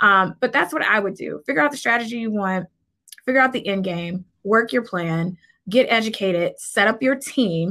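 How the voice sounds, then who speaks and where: A bright, sharp-toned woman with an American accent on a very clean recording with a silent background. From US Midwest, Cleveland, Ohio. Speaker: entrepreneur, business credit consultant. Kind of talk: interview.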